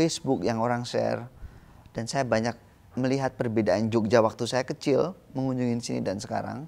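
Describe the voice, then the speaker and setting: Male voice at a fairly quick pace. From Indonesia. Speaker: visual artist; interviewee. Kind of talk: interview. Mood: calm, reflective. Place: garden. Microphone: lapel.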